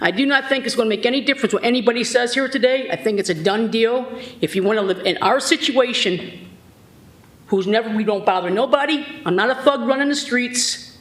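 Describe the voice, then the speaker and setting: Noticeable noise sits in the background. The talking goes at a fairly quick pace. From Sandusky, Ohio. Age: 60s. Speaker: resident speaking at public hearing. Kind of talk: public comment complaint. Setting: city board meeting. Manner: animated, agitated.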